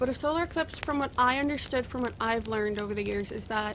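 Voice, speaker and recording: A woman talks with a slight rural Canadian accent. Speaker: gaming video creator. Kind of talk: casual gameplay commentary. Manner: halting, many fillers.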